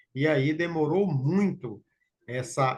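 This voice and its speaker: Lively intonation marks a man's somewhat breathy speech. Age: 60s. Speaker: local participant in technical talk. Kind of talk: Q&A discussion.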